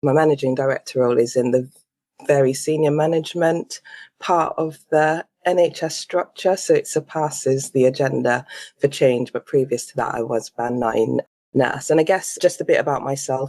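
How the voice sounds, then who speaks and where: A woman speaks in a very deep, low pitch with a dark, mellow tone. Her pace is moderate, her pitch variation ordinary, and the sound dry and close with no echo. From Caribbean, St Vincent and the Grenadines. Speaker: nurse manager, leadership coach. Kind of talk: interview conversation.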